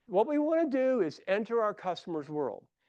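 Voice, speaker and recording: In a dry, close recording with no echo and a quiet background, a man with a Midwestern US accent talks at a moderate pace, his pitch swinging very widely. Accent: Midwest US. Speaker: consultant and conference speaker. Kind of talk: conference presentation. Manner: animated.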